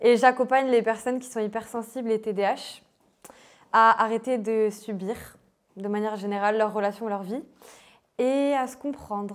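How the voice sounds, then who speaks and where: Using fairly even intonation, a woman with a fairly high pitch speaks at a moderate pace and leaves long, frequent pauses. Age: 20s. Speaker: life coach and author. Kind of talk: casual interview. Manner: casual, hesitant with fillers.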